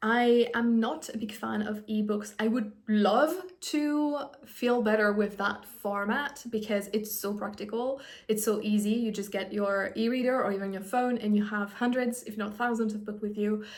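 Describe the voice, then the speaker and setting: A woman speaks at a moderate pace with fairly even intonation. Audible room echo surrounds her voice. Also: fairly high pitch for a woman. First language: French. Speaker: book vlogger. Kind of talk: casual vlog monologue. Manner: conversational with fillers and self-corrections.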